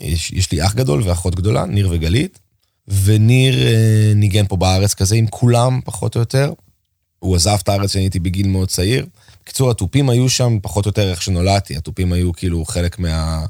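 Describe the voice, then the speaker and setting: A man with a dark, mellow tone speaks at a fairly low pitch and a fairly quick pace. His pitch varies in an ordinary way, on a very clean recording with a silent background. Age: 40s. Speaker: drummer. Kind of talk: casual chat. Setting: school room on location.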